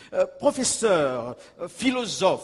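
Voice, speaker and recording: Very slowly, a man speaks at an extremely high pitch with lively intonation. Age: 60s. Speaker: pastor and evangelist. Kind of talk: sermon. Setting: church.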